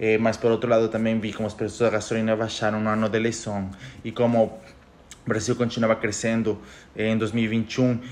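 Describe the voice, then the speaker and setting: Speaking very rapidly, a man talks with a Spanish accent. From Ecuador. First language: Spanish (speaking Portuguese). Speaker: economist podcaster. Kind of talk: casual monologue podcast. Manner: halting, self-correcting.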